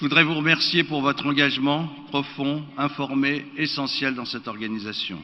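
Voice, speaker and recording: A man with an ordinary speaking voice talks at a fairly high pitch and moderate pace. His loudness swings widely. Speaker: board member of an internet governance body. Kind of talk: formal speech. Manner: formal.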